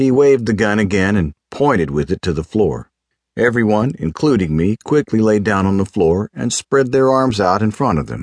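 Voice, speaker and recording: Heard dry and close with no echo, a man uses a plain, everyday voice, fairly low in pitch, with lively intonation at a moderate pace. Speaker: audiobook narrator. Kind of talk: dramatic first-person audiobook narration of a crime story. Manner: tense, vivid, building suspense with clipped urgency during the robbery; measured, hard-boiled detective tone.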